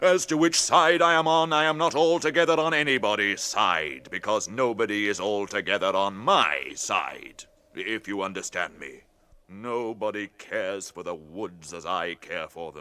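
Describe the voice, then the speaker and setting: A man's put-on character voice, fairly low in pitch, with very wide pitch swings at a moderate pace. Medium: audio drama. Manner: slow, deliberate, musing.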